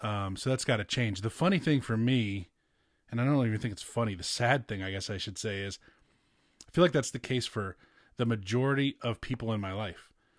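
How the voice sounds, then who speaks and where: An unremarkable speaking voice moves at a fairly quick pace with ordinary pitch variation. The recording is very clean, the background silent. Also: man, medium pitch for a man. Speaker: podcast host. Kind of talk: casual chat.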